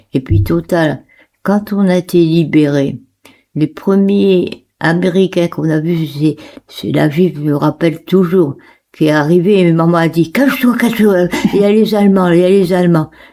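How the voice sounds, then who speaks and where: Speaking at a fairly slow pace, a woman with a fairly low pitch has a dark, mellow tone and very even loudness. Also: ordinary pitch variation. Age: 80s+. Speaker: World War II survivor. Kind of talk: interview answer, personal testimony.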